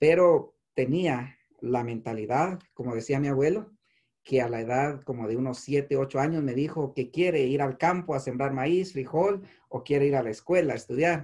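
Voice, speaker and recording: A man talks at a moderate pace with a fairly high pitch. His tone is dark and mellow, with ordinary pitch variation. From Guatemala, Chimaltenango. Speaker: insurance entrepreneur and migrant activist. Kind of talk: personal testimony.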